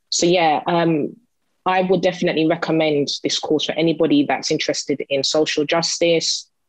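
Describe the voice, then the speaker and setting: A woman speaks at a moderate pace and fairly low pitch, the sound dry with no echo and the background quiet. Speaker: mature university student. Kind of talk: testimony. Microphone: video call.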